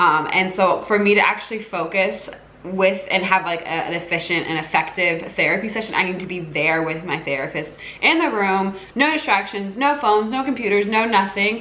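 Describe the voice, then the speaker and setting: Noticeable background noise and audible room echo accompany speech with lively intonation. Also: woman, medium pitch for a woman, moderate pace. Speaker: lifestyle YouTuber. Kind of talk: casual Q&A vlog. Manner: halting, many fillers and restarts.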